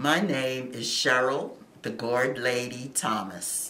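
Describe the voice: Amid audible room echo, a woman speaks slowly at an extremely low pitch, her tone fairly bright.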